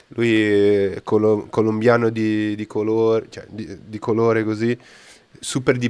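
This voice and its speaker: A man's fairly low voice comes through over a quiet background. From Brazil. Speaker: podcast host. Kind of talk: casual chat, live podcast. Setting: live stream.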